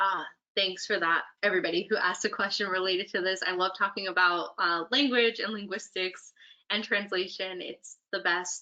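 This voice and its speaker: A woman in a Spanish accent with a bright, sharp tone. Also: medium pitch for a woman, moderate pace. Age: 30s. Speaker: poet. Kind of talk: Q&A answers. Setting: virtual event. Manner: animated, many fillers.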